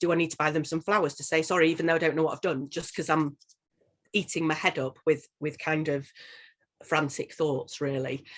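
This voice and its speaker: Against a quiet background, a woman with a Yorkshire accent and a very deep, low pitch speaks at a very fast pace with fairly even intonation. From northern England, Leeds. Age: 40s. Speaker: social worker and coach. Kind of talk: interview testimony.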